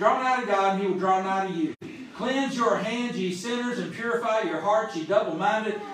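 With a Southern US accent, the speaker talks at a fairly quick pace with ordinary pitch variation over noticeable background noise. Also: man. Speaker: preacher. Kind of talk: sermon. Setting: church. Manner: fervent, call-and-response style.

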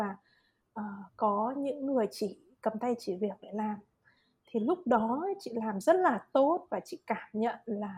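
Here is a woman's voice in a dark, mellow tone. Her intonation is lively. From Vietnam. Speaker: psychological counselor. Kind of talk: casual chat.

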